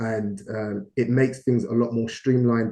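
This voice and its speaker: A man's medium-pitched voice has a dark, mellow tone and a monotone, flat intonation. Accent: British. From London, England. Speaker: business partner, investor. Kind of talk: investor presentation talk. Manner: hesitant, many fillers.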